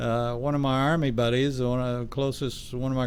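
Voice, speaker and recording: Audible room echo surrounds a man speaking at a medium pitch. His pace is moderate. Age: 70s. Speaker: radio station owner, army veteran. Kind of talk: casual radio talk.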